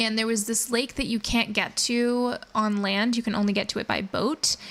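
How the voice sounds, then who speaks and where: A woman speaks in a normal speaking voice at a moderate pace, her fairly high pitch held in fairly even intonation. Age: 20s. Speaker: video game streamer. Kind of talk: casual game stream chat, reading viewer comments.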